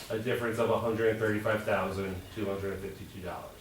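A man speaks at a fairly quick pace with a medium pitch. Audible room echo and noticeable background noise surround him. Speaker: school budget presenter. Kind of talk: budget presentation at board meeting. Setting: board of education work session.

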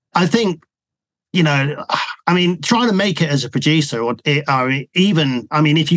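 A man with a British accent talks at a moderate pace with ordinary pitch variation. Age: 50s. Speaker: music producer. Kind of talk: interview.

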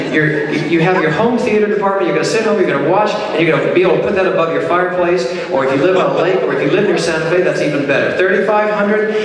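A man's high-pitched voice with ordinary pitch variation, very fast and with hardly any pauses, amid strong room echo and noticeable background noise. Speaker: charity auctioneer and pianist. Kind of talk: charity fundraising auction patter. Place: hall.

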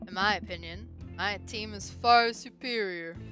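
Clear music sits behind a gruff, put-on character voice pitched in the middle range and delivered at a moderate pace. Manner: opinionated, confident.

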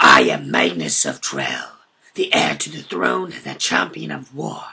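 In a raspy put-on character voice, a man speaks at a moderate pace with a very deep, low pitch. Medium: audio drama. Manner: menacing, taunting.

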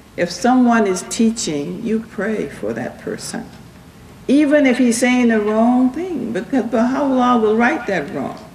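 A woman speaks at a fairly slow pace in a fairly high pitch, her slightly mellow tone rising and falling in big pitch swings. Audible room echo surrounds her voice.

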